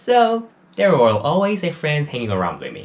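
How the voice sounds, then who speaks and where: This man has a high pitch and speaks with a Korean accent. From South Korea. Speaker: university student and small YouTuber. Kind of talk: personal testimony. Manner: non-native, somewhat halting English.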